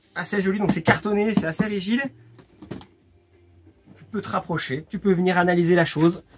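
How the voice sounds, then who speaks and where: A man's voice, high in pitch. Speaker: video game shop presenter. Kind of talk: casual talk to camera.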